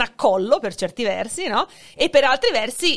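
In a plain, everyday voice, a woman speaks at a moderate pace with a fairly high pitch. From born in Hungary, dual nationality, lives in Italy. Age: 40s. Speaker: sociolinguist and teacher. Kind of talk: casual chat.

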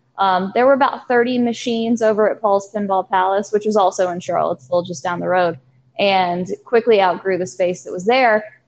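This woman talks at a fairly quick pace with a Virginia accent. Her pitch variation is ordinary. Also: medium pitch for a woman. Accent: Southern US (Virginia). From US South, southern Virginia (Danville). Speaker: arcade manager. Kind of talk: casual interview.

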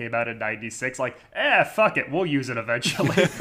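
The man's tone is bright and sharp. His pitch varies in an ordinary way. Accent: American. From Connecticut. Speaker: podcast co-host. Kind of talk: casual chat.

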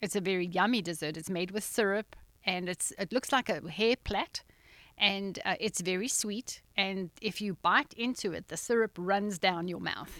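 A woman with a South African accent speaks in a bright, sharp tone at a moderate pace, with ordinary pitch variation. The sound is dry and close, with no echo. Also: medium pitch for a woman. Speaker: nonprofit founder. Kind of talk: casual interview. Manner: laughs easily.

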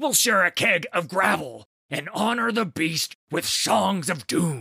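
A man's raspy, put-on character voice, high-pitched with very wide pitch swings, at a fairly slow pace in a dry, close sound with no echo. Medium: read story. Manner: blunt, boisterous.

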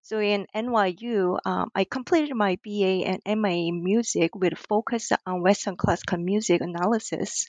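A woman with a Korean accent talks at a moderate pace with hardly any pauses. Her medium pitch shows ordinary variation. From South Korea. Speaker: ethnomusicologist and author. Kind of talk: interview. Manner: hesitant, many fillers.

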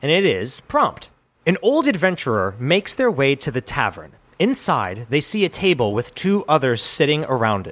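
A man speaks with vocal fry at a moderate pace. His pitch swings very widely. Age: 30s. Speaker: podcast co-host. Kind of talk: casual chat; scripted narration.

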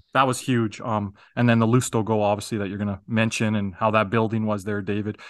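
A man talks very fast at a fairly low pitch, with monotone, flat intonation. The background is quiet. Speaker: podcast co-host.

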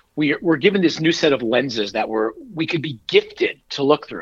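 This man has a normal speaking voice, pitched fairly high, and talks at a moderate pace with an American accent and lively intonation. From northern New Jersey, US. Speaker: keynote speaker and author, cancer survivor. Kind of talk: interview testimony.

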